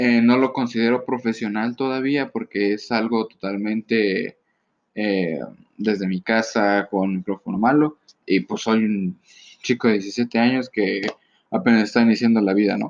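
Speaking in a Mexican accent, a man talks fairly slowly at a medium pitch. His intonation is fairly even, and the sound is dry and close with no echo. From Mexico. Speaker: solo podcaster. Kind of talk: casual solo monologue.

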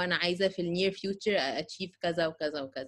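Fairly quick in pace, a woman talks in a plain, everyday voice. Her pitch is medium, with ordinary variation. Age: 30s. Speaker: podcast co-host. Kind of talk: casual chat.

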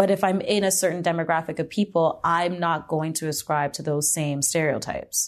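Her pitch is very deep and low for a woman. The background is quiet. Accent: Canadian. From Hamilton, Ontario, Canada. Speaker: choreographer and dancer. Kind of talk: casual interview.

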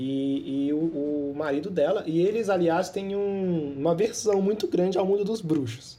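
A man with a high pitch and a dark, mellow tone. He talks at a fairly slow pace with ordinary pitch variation and hardly any pauses. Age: 20s. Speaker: podcast host. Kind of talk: casual chat.

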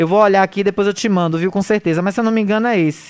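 With a medium pitch and ordinary pitch variation, a woman speaks in an animated tone. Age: 40s. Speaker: radio news host. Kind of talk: radio talk show with political commentary.

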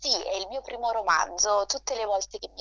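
A woman speaks over noticeable background noise. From Naples, Italy. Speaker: debut novelist. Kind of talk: radio interview.

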